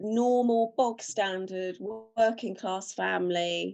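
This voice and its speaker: A woman's voice at a very slow pace with ordinary pitch variation. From South London, England (Morden). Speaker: novelist. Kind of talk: interview conversation. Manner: casual, chatty.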